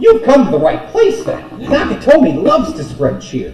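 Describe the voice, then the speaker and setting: At a moderate pace, a man performs a put-on character voice with a slight echo. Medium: actual play.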